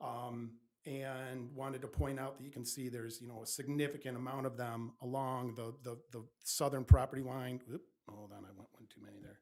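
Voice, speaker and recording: Loud and at a fairly quick pace, a man speaks with a dark, mellow tone and fairly even intonation. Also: medium pitch for a man. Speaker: engineering consultant presenting a project. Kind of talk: public meeting presentation. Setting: township planning commission meeting.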